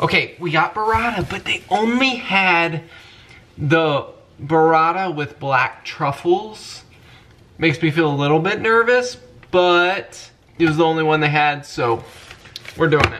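A man's bright, sharp voice with lively intonation, a fairly slow pace and long, frequent pauses. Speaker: family vlogger. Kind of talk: casual vlog chat. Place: kitchen. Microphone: phone near.

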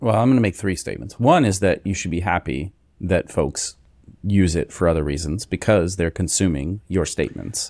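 Speaking at a moderate pace, a man with a very deep, low pitch uses lively intonation in a dry recording with no echo. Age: 40s. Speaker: podcast co-host. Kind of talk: casual chat. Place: home room. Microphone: studio mic.

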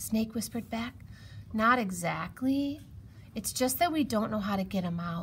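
With lively intonation, someone is reading aloud in a natural voice.

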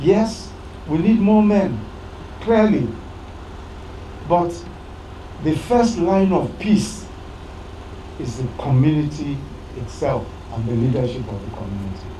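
Audible room echo and light background noise accompany a man who speaks with long, frequent pauses. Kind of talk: public address to community leaders. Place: open country. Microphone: handheld.

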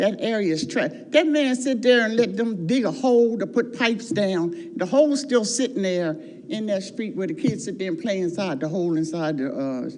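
With audible room echo and noticeable background noise, a woman speaks at a moderate pace and fairly high pitch, her voice swinging very widely in pitch with hardly any pauses. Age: 70s. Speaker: resident speaking at public comment. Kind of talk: public comment at city council meeting. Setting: city council meeting. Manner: animated.

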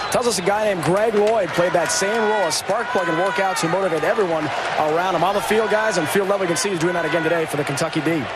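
Amid loud background noise, a man talks at a very fast pace with hardly any pauses and very even loudness. His voice is high, with ordinary pitch variation, and the sound is dry with no echo. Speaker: sideline reporter. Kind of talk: sideline reporting. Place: stadium. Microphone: handheld.

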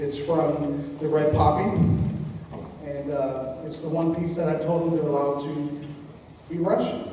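With strong room echo and light background noise, a man talks at a fairly slow pace with fairly even intonation. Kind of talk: concert announcement. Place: hall. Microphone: camera far.

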